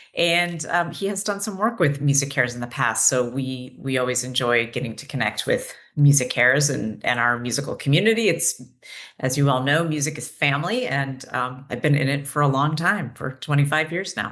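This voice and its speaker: The speaker talks at a fairly quick pace with lively intonation. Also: woman, very deep, low pitch for a woman. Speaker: mental health clinician and nonprofit program director. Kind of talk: educational webinar presentation. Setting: webinar.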